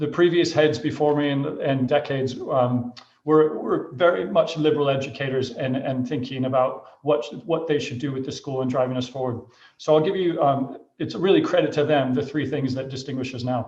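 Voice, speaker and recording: With an American accent, a man speaks at a fairly high pitch and a moderate pace, somewhat breathy, with ordinary pitch variation. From Michigan, US Midwest. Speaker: headmaster. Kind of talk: school presentation to parents. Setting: video call. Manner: hesitant fillers.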